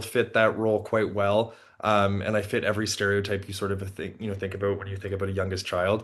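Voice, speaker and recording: Against a quiet background, a man with an American accent talks at a very fast pace in a fairly low pitch, with hardly any pauses. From Canada, Toronto. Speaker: postdoctoral researcher. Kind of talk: podcast interview. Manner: casual, many fillers and restarts.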